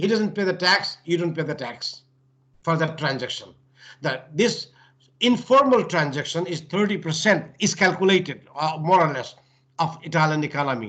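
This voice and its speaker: A man with a Nepali accent speaks in a high, bright, sharp voice with lively intonation. He leaves long, frequent pauses. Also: moderate pace. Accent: South Asian (Nepali) English. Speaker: professor, lecturer. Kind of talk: lecture.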